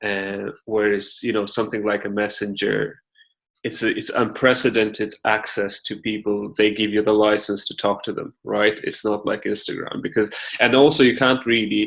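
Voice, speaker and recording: Someone with a Russian accent speaks at a moderate pace. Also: man. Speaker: podcast host. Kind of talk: interview.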